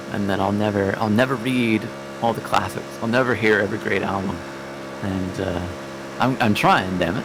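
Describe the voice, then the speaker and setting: With an American accent, a man talks at a fairly quick pace in a fairly low pitch with lively intonation, over noticeable background noise and audible room echo. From US Pacific Northwest (Oregon). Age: 30s. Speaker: sim racing teammate. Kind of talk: casual chat. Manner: halting, many fillers and repeats.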